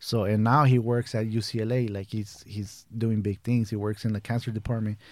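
On a very clean recording with a silent background, a man with an unremarkable speaking voice talks at a medium pitch and a fairly quick pace with fairly even intonation. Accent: American. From Brazil (São Paulo) then San Fernando Valley, Los Angeles from age 11. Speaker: edibles baker and business owner. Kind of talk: casual chat. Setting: studio.

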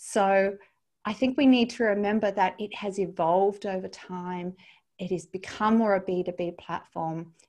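A woman of medium pitch speaks with an Australian accent. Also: moderate pace. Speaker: LinkedIn coach and trainer. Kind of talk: interview. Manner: animated.

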